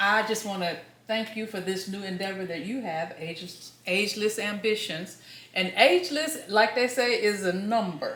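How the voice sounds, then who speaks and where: A woman speaks at a moderate pace with ordinary pitch variation, her voice carrying audible room echo over noticeable background noise. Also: medium pitch for a woman. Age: 60s. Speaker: scuba diver. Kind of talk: podcast interview.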